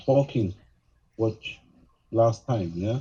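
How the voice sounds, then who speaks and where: Somewhat breathy man with a non-native accent and a dark, mellow tone. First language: not English. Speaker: audience participant. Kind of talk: casual chat. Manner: halting.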